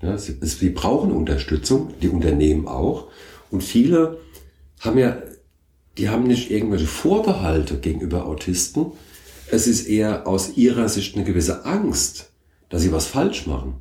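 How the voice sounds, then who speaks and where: A man's fairly low voice with vocal fry and a dark, mellow tone, very wide pitch swings, a moderate pace, and long, frequent pauses. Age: 50s. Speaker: company founder and managing director. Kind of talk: interview.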